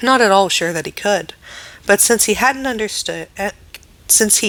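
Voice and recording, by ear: Someone is reading aloud in a natural voice here.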